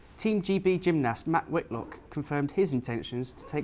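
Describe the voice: A man with a fairly high pitch and a slightly mellow tone speaks with lively intonation.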